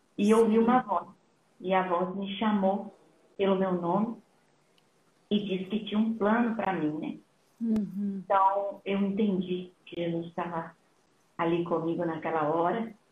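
A woman of medium pitch talks at a fairly slow pace with long, frequent pauses. Her intonation stays fairly even. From Brazil, raised in São Paulo (born in Minas Gerais). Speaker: missionary and nurse. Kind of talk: testimony in a live interview.

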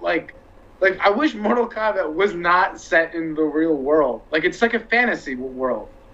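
Noticeable background noise runs beneath talking at a moderate pace. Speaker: podcast guest. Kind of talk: casual chat.

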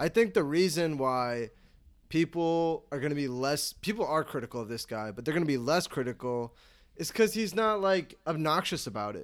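Speaking with an American accent and a plain, everyday voice, a man uses a fairly high pitch and lively intonation at a moderate pace, recorded very cleanly against a silent background. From Chicago. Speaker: podcast co-host. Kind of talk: casual chat.

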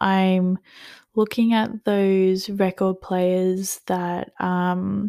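A woman speaks with an Australian accent at medium pitch. Her tone is dark and mellow. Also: very clean recording, silent background. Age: 20s. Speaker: podcast host, student. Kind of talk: casual solo chat. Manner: casual, many filler ums.

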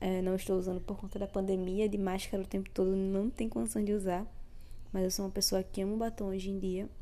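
A woman's dark, mellow, medium-pitched voice, flat and monotone at a very fast pace, with audible room echo. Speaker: podcast host, educator. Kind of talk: solo podcast monologue.

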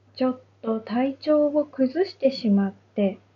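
Her voice is high-pitched for a woman, and she speaks at a very slow pace. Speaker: Japanese language teacher. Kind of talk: unscripted monologue for language learners. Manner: slow, clear.

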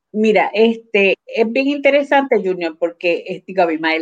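A woman with lively intonation. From Puerto Rico, Adjuntas (central mountains). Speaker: cooperative organizer. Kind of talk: interview.

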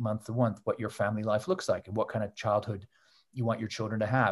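Over a quiet background, a man with a Canadian accent speaks at a very fast pace in a somewhat breathy voice. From Canada. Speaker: author and journalist. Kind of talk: interview.

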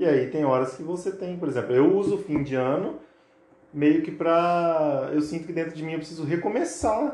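Noticeable background noise and audible room echo fill the recording. A man speaks at a moderate pace and fairly high pitch, with ordinary pitch variation. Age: 30s. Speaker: barber. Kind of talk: casual chat.

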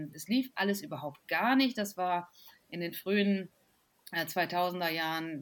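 A woman with a normal speaking voice, fairly low pitch and lively intonation. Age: 40s. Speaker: physician and health blogger. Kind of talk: casual chat.

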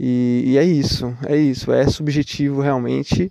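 A man is speaking here. His voice has a dark, mellow tone. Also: dry, close sound with no echo. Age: 30s. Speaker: musician and podcaster. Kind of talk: casual reflective monologue. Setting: outdoors at night, walking, recorded on phone. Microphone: phone microphone.

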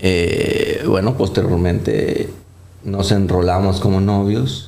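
A man speaks with a very deep, low voice. His intonation is fairly even, and room echo is audible. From Colombia. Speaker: vascular surgeon. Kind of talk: interview. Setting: studio with live set. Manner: halting, frequent fillers.

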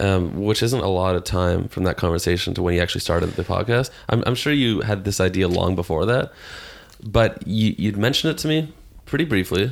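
With an ordinary speaking voice and a fairly low pitch, a man speaks at a fairly quick pace. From Toronto, Canada. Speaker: rock musician. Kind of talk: casual chat. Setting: home living room studio.

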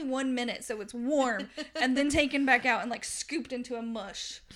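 Moderate pace, ordinary pitch variation and a Southern US accent, on a very clean recording with a silent background. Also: woman. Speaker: podcast host, book reviewer. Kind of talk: casual chat, book discussion.

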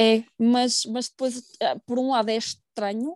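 In a European Portuguese accent, a woman with a dark, mellow tone speaks fairly slowly at a high pitch. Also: dry, close sound with no echo. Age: 30s. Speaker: pharmacist sharing infertility story. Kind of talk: personal testimony interview. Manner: hesitant, with fillers and repetitions.

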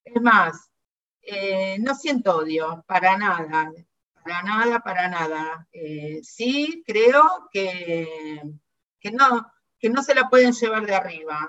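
A woman's medium-pitched voice with lively intonation, in a Rioplatense accent. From Argentina. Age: 60s. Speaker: museum director, dictatorship survivor. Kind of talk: testimony.

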